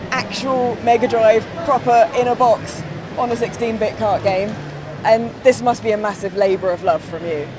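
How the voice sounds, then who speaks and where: A woman at a moderate pace and fairly high pitch, with ordinary pitch variation and noticeable background noise. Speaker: presenter. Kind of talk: interview questions.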